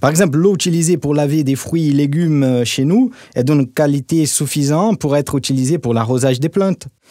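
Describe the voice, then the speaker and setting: At a fairly quick pace, a man with a fairly high pitch and a dark, mellow tone speaks with very even loudness and ordinary pitch variation. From Brazil. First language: Portuguese (speaking French). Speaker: corporate marketing director, expert guest. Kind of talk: podcast interview.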